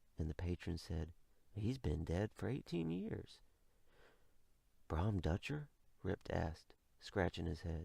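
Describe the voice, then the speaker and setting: Soft-spoken and somewhat breathy, a man with a very deep, low pitch and a dark, mellow tone uses lively intonation at a moderate pace. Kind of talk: ASMR bedtime story reading. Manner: quiet, soft-spoken.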